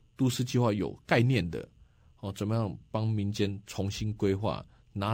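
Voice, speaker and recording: The voice carries a Taiwanese accent, moderate pace and ordinary pitch variation. It sits on a very clean recording with a silent background. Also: man. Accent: Taiwanese Mandarin. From Taiwan, Nantou County. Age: 40s. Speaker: county councillor and local election candidate. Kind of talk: radio interview.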